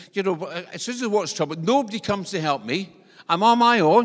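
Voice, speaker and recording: In a very clean recording with a silent background, a man talks with a Scottish accent and lively intonation. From Scotland. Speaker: visiting preacher. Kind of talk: sermon. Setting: church. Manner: humorous, conversational.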